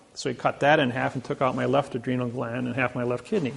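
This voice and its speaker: The talking moves at a very fast pace. It carries a Midwestern American accent. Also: man. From US Midwest, Indiana. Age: 60s. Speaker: seminar speaker. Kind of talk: seminar lecture.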